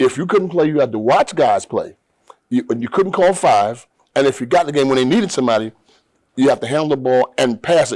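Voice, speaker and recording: Lively intonation marks this man's speech, which is fairly high-pitched and carries an American accent. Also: fairly quick pace. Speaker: sports show host, former athlete. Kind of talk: casual interview.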